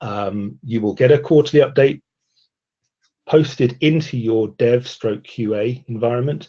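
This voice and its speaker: With a British accent, a man talks at a fairly slow pace in a dark, mellow tone. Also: medium pitch for a man, ordinary pitch variation. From Britain. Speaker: software testing presenter. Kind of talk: webinar presentation.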